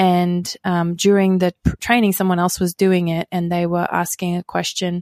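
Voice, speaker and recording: In an Australian accent, a woman speaks at a moderate pace and a fairly low pitch, with hardly any pauses and flat, monotone intonation. The sound is dry and close with no echo, on a very clean recording with a silent background. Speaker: pastor and author. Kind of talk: interview.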